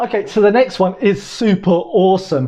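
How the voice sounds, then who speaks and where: A British accent at a moderate pace. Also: man. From Britain. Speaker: language tutorial YouTuber. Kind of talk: casual talk to camera, language tutorial.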